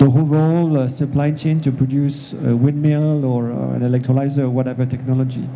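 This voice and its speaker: A man talks with a French accent at a fairly quick pace, his pitch fairly high. His intonation is monotone and flat, and there is noticeable background noise. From France. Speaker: industry executive, panelist. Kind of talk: panel discussion. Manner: hesitant, many fillers.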